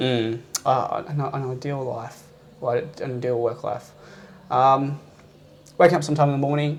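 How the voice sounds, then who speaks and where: A man with a fairly high pitch and an Australian accent, fairly even intonation, and long, frequent pauses. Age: 20s. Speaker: kung fu instructor. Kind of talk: interview chat. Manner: fast; halting.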